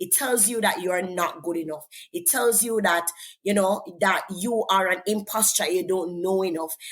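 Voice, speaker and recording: With a Jamaican accent, a woman speaks in a medium pitch. Her pace is moderate and her pitch variation ordinary. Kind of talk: interview testimony.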